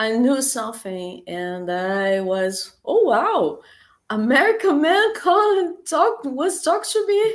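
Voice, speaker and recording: A woman talks at a very slow pace in a Portuguese accent. Her high pitch makes very wide swings. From Brazil, Rio de Janeiro. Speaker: language teacher. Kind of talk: interview. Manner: halting, repeated words.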